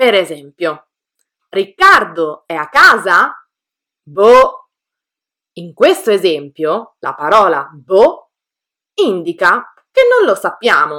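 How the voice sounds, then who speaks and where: A woman's bright, sharp voice at a very slow pace, with very wide pitch swings and long, frequent pauses. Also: medium pitch for a woman. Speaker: Italian language teacher, podcast co-host. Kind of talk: scripted language lesson. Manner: clear, didactic.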